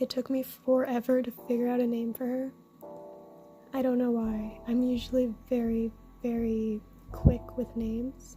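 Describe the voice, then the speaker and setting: Quiet and shaky, a woman speaks high in pitch with monotone, flat intonation, leaving long, frequent pauses while music plays in the background. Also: moderate pace. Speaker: pet spider keeper. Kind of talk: casual talk to camera. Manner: quiet, shaky.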